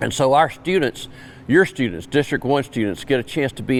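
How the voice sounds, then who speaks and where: Speaking in a South Carolina accent, a man with a fairly high pitch and vocal fry swings his pitch very widely. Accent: Southern US (South Carolina). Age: 70s. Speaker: Vietnam veteran, event organizer. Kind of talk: interview.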